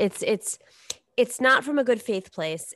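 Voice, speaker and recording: Heard against a quiet background with a dry, close sound and no echo, a woman with an American accent has a plain, everyday voice, lively intonation and a moderate pace. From New York. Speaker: political commentator. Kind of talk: casual chat.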